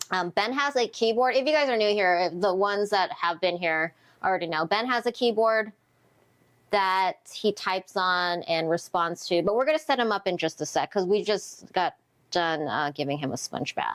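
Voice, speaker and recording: Recorded very cleanly against a silent background, a woman with an unremarkable speaking voice talks at medium pitch and a moderate pace with lively intonation. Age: 30s. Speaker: caregiver livestream co-host. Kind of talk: casual livestream chat. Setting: livestream.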